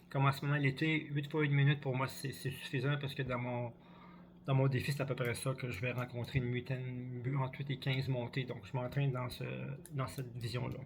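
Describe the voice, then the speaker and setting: Somewhat breathy and at a medium pitch, a man speaks at a fairly quick pace in a monotone, flat intonation. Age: 60s. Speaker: cross-country ski coach. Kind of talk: vlog tutorial. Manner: halting, repetitive.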